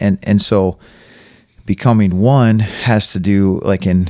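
Fairly even intonation runs through this man's talk in a normal speaking voice. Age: 40s. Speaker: farmer. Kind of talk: casual chat.

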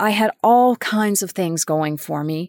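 A woman with a Canadian accent has a normal speaking voice, fairly low in pitch with ordinary pitch variation. The sound is dry and close with no echo, in a very clean recording with a silent background. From Winnipeg, Manitoba, Canada. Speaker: podcast host, sustainability professional. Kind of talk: personal storytelling monologue.

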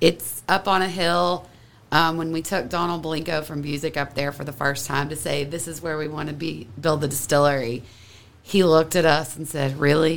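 A woman with an American accent, very deep and low in pitch, at a moderate pace with fairly even intonation. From Kentucky. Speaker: whiskey blender and distillery co-founder. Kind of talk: casual chat.

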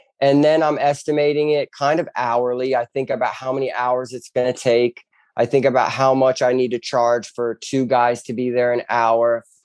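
A man in an American accent talks in a flat monotone with hardly any pauses, the sound dry and close with no echo. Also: medium pitch for a man, moderate pace. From US South, southwest Florida (Bonita Springs). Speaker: handyman business owner. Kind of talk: casual interview.

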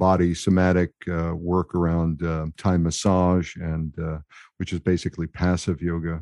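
Over a quiet background, a man speaks at a fairly slow pace with a very deep, low pitch, a dark, mellow tone and monotone, flat intonation, in a dry, close sound with no echo. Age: 60s. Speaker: mindfulness coach and veteran. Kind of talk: interview conversation. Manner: hesitant, filler words.

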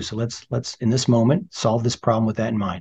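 A man's somewhat breathy, medium-pitched voice with a General American accent, at a fairly quick pace. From California. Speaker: surgeon, department chair. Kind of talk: interview.

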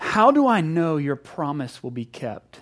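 Shouting in a put-on character voice, a man sounds shrill at a fairly high pitch and keeps a moderate pace.

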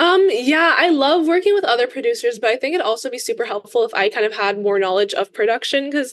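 This woman talks at a fairly quick pace in a high pitch, her voice making very wide pitch swings. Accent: American. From Los Angeles. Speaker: singer-songwriter. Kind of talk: casual interview.

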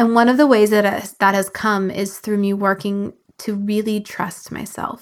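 Speaking at a moderate pace, a woman with a medium-pitched voice takes on an animated tone. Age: 40s. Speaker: business coach and podcast host. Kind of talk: solo podcast monologue.

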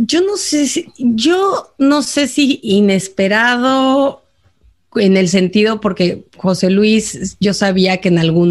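Lively intonation from a woman at a very slow pace. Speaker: podcast co-host, expatriate. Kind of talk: casual chat.

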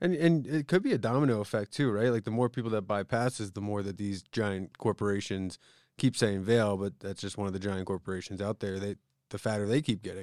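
A man speaks in an ordinary speaking voice, fairly low in pitch with ordinary pitch variation, at a fairly quick pace, the sound dry and close with no echo on a very clean recording with a silent background. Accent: American. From US East Coast, Pennsylvania (Philadelphia area). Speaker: podcast co-host. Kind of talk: casual chat.

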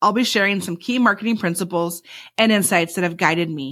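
An enthusiastic woman speaks fairly quickly with an American accent, at a medium pitch and ordinary pitch variation. The recording is very clean, with a silent background. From Michigan. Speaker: podcast host and marketing consultant. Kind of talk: scripted monologue.

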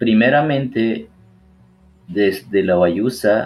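A man talks at a very slow pace. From Ecuadorian Amazon. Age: 30s. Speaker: community coordinator. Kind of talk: interview. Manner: halting.

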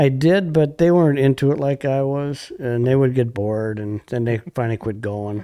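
With a Wisconsin accent, a man delivers a dark, mellow tone at medium pitch and a moderate pace, his pitch varying in an ordinary way and hardly any pauses breaking his speech. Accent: Upper Midwest (Wisconsin). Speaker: fishing guide. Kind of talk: casual chat.

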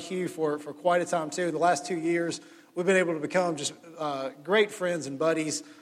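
Loud and at a fairly quick pace, a man with a Mississippi accent speaks at a high pitch with fairly even intonation over noticeable background noise. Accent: Mississippi Southern US. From US South, Jackson, Mississippi. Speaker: pastor. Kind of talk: sermon. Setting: church.

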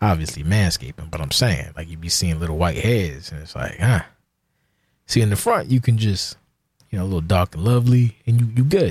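A man with an American accent and a very deep, low pitch speaks somewhat breathily, with lively intonation and big swings in loudness, on a very clean recording with a silent background. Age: 40s. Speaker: podcast host. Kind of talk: casual solo monologue. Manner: sounds slurred, like inebriated.

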